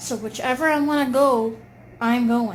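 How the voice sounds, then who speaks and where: A woman talks at a fairly slow pace in a fairly high voice. Her pitch varies in an ordinary way, and audible room echo surrounds her. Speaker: video blogger. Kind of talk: casual monologue.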